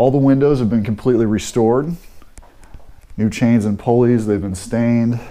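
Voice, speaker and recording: A man with an American accent speaks at a moderate pace in a dark, mellow tone. His intonation is fairly even, with long, frequent pauses. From US Midwest, St. Louis. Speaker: real estate agent. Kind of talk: walking property tour narration, pointing out features room by room. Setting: walking through a house while filming. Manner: casual, conversational with frequent 'uh' and 'um' fillers. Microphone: phone near.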